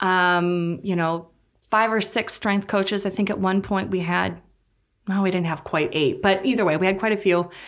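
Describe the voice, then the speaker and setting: On a very clean recording with a silent background, a woman with an Upper Midwest accent speaks at a moderate pace in a medium pitch, with ordinary pitch variation. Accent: Upper Midwest American. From North Dakota. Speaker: physical therapist. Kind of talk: casual interview.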